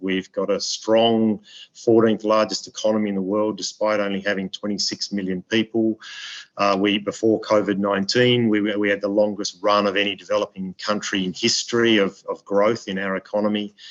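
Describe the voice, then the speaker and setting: With an Australian accent, a man speaks at a moderate pace and fairly low pitch, his intonation monotone and flat, in a dry, close sound with no echo. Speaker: ambassador. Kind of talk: webinar speech. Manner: halting with many repetitions.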